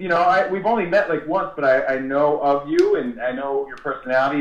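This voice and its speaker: Audible room echo carries a man's fairly high-pitched voice as he talks at a fairly quick pace. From New Jersey. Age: 40s. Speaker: radio host. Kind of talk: casual chat. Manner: animated. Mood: friendly, complimentary. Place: studio.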